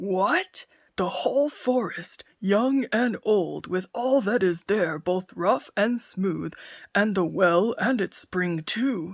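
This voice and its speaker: A female-sounding, put-on character voice growls at a medium pitch and a very slow pace in a very clean recording with a silent background. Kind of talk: fairy tale narration. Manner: growling, frightened.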